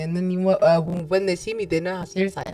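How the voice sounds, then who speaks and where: Noticeable background noise sits behind a woman at medium pitch who speaks at a very fast pace. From Somalia (Somali descent). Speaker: mental health advocate, trauma survivor. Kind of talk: interview.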